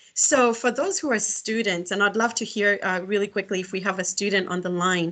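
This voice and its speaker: At a moderate pace, a woman with a Kenyan accent speaks in a fairly high pitch with ordinary pitch variation against a quiet background. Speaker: executive director and career speaker. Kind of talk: guest lecture. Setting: video call. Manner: halting, many fillers and restarts.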